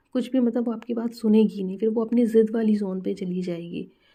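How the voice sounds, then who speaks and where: Against a quiet background, a woman talks in a dark, mellow tone with monotone, flat intonation. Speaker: mother. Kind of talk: casual parenting advice to camera.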